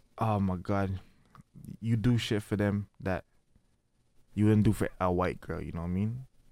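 A man with a dark, mellow tone, fairly low pitch, moderate pace and long, frequent pauses. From Toronto, Canada (Scarborough), Trinidadian family. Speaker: podcast host. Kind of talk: casual chat. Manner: animated.

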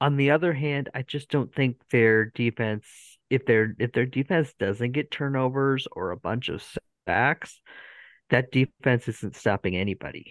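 A man's unremarkable speaking voice, medium in pitch with ordinary pitch variation, at a fairly slow pace, dry and close with no echo against a quiet background. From United States. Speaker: podcast host. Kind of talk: casual chat.

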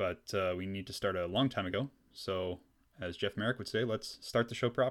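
A man with a Canadian accent and an ordinary speaking voice talks at a fairly quick pace in a fairly low pitch, with ordinary pitch variation, on a very clean recording with a silent background. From British Columbia, Canada. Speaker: history podcast host. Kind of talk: scripted narration. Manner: casual with frequent fillers.

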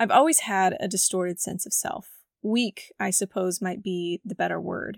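At a fairly slow pace, a woman speaks with a raspy voice, vocal fry and fairly even intonation, in a dry, close sound with no echo. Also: fairly low pitch for a woman, very clean recording, silent background.

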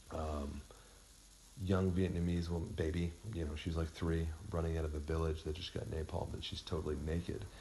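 A man's somewhat breathy, very deep, low voice with a dark, mellow tone, monotone, flat intonation and a fairly quick pace. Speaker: podcast host. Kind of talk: casual chat.

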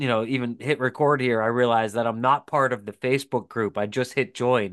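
In an American accent, a man uses a normal speaking voice at a medium pitch and a fairly quick pace. The background is quiet. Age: 40s. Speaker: podcast co-host and lure maker. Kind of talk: casual chat.

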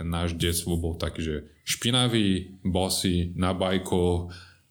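Speaking with a Brazilian accent, a man uses a very deep, low pitch, fairly even intonation and a fairly slow pace. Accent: Brazilian Portuguese accent in Slovak. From Brazil, São Paulo state. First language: Portuguese (speaking Slovak). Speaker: hotel general manager. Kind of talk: casual interview.

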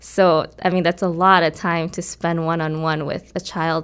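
A woman with an American accent and an ordinary speaking voice talks at a fairly slow pace, fairly low in pitch with fairly even intonation. The recording is very clean, with a silent background. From Korea, then Nebraska from age eleven. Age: 20s. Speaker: violinist. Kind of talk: interview conversation. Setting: music studio.

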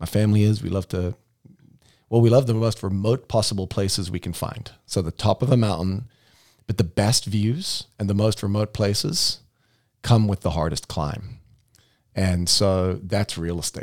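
Man with a South African accent, moderate pace and ordinary pitch variation. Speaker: real estate team leader and podcast host. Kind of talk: casual chat. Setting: studio.

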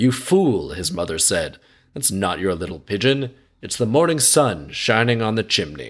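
At a moderate pace, a man talks at a medium pitch with vocal fry and very wide pitch swings. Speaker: podcast host. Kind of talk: scripted fairy-tale narration read aloud, broken by sarcastic commentary. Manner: storyteller's tone for quoted dialogue, then snarky, irreverent, casually sweary asides; conversational, jokey.

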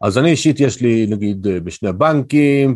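A man with a plain, everyday voice, ordinary pitch variation and a fairly slow pace. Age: 50s. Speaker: financial advisor. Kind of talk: interview.

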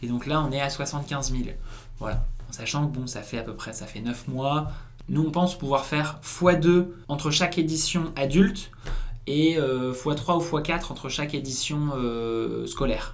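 With noticeable background noise and audible room echo, a man talks at a fairly slow pace, his pitch fairly high and his pitch variation ordinary. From northern France, Lille. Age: 20s. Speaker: eco-game founder. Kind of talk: casual interview.

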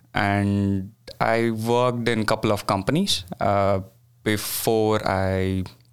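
A man talks with an Indian accent at a fairly low pitch. His intonation is monotone and flat. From India, Bangalore. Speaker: graduate student. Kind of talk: casual interview. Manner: hesitant, many fillers.

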